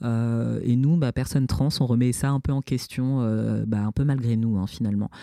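A man's medium-pitched voice at a fairly slow pace, with fairly even intonation, hardly any pauses and very even loudness over a quiet background. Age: 30s. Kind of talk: interview testimony. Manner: halting, many repetitions and hesitations.

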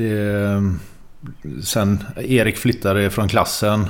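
A man's very slow, monotone delivery at a fairly low pitch, flat in intonation. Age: 40s. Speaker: tattoo artist. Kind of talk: casual chat.

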